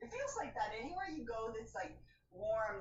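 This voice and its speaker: A woman's voice carries audible room echo. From Canada, Windsor, Ontario. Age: 60s. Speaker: yoga class participant. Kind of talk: casual chat.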